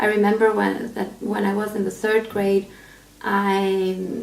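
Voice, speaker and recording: Over noticeable background noise, a woman with an Albanian accent speaks at a medium pitch and a very slow pace. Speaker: aspiring pastor. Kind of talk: personal testimony. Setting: self-recorded video. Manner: halting, many fillers.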